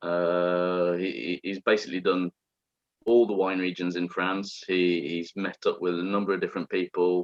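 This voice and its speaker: In an English accent, a man with a very deep, low pitch speaks at a moderate pace in a monotone, flat intonation. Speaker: wine presenter. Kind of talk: online wine masterclass presentation. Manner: hesitant, many fillers and repetitions.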